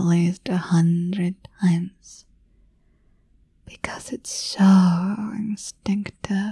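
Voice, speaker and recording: Someone soft-spoken talks at a very slow pace, the sound dry with no echo and the background quiet. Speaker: voice actor in audio roleplay. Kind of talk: scripted roleplay monologue. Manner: soft, intimate ASMR murmur.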